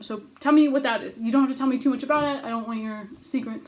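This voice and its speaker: With ordinary pitch variation, a woman talks in a somewhat breathy voice. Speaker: writing workshop leader. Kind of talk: recorded video lecture. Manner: fast; frantic.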